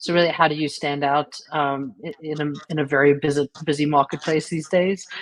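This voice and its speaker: A woman speaks in a South African accent with a very deep, low pitch and flat, monotone intonation. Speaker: creativity and change coach. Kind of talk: interview.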